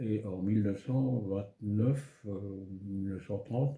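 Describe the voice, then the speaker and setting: Very slowly, a man speaks at a fairly low pitch with ordinary pitch variation. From France, Moselle (Lorraine). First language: German (speaking French). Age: 80s+. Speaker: elderly local resident. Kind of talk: life story interview.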